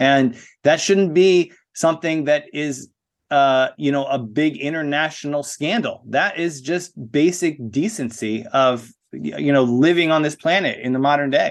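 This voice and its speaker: This man has a normal speaking voice with an American accent. His pitch is fairly high, with ordinary variation. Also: fairly slow pace. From USA. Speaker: spoken word artist. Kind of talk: interview.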